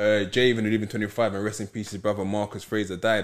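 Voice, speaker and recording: A man with a London accent, a fairly low pitch and a very fast pace. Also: quiet background. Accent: London Multicultural English. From London, Peckham. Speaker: football club founder. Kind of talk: casual interview chat. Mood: reflective, somber mention. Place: studio.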